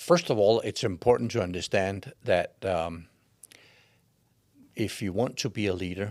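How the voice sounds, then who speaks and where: Recorded very cleanly against a silent background, a man with a Danish accent speaks at a fairly slow pace and fairly low pitch with ordinary pitch variation. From Denmark. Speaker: leadership expert and coach. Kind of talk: interview answer.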